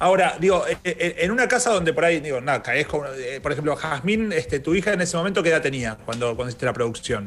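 A man talks very fast at a fairly high pitch, with lively intonation. Noticeable background noise runs underneath. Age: 30s. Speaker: radio host. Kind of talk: interview. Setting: studio.

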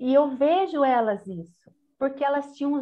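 This woman's voice is high and her intonation lively. She talks at a fairly slow speed. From Brazil, Itapeva (São Paulo state). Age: 40s. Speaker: prayer group coordinator. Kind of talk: podcast interview.

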